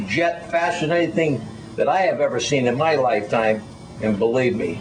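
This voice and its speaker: Music plays in the background, and there is audible room echo. The man speaks with lively intonation, a fairly high pitch and a moderate pace. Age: 70s. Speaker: UFO witness. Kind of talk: testimony. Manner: halting.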